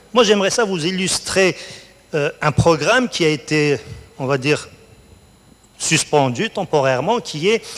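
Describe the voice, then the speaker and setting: Noticeable background noise sits under a man's fairly high-pitched voice. He talks at a fairly slow pace with long, frequent pauses. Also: lively intonation. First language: Berber (speaking French). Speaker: college researcher, award laureate. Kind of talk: onstage interview.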